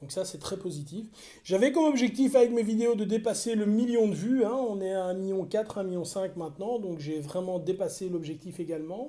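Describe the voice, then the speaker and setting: A man speaks with a high pitch and ordinary pitch variation. His tone is dark and mellow. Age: 40s. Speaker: martial arts coach and tailor. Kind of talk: casual vlog talk. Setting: at home. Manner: hesitant, many fillers and repetitions.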